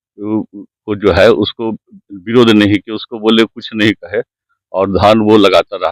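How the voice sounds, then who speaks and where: A man speaks in a fairly low voice with monotone, flat intonation and big swings in loudness. The sound is dry and close, with no echo. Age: 60s. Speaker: landowner complaining of land grab. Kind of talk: news interview testimony.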